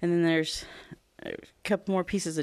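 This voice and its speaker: A woman speaking at a fairly quick pace. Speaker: podcast host. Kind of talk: solo podcast monologue about crystals. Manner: animated.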